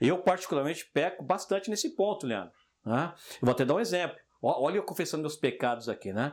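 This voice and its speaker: This man speaks at a fairly quick pace in a high voice that swings very widely in pitch. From Brazil, Jardim Selma (São Paulo). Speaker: podcast co-host. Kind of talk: casual chat.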